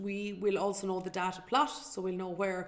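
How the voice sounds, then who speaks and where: A woman with an Irish accent. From Ireland. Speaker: financial educator and show host. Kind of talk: live webinar presentation. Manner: fast.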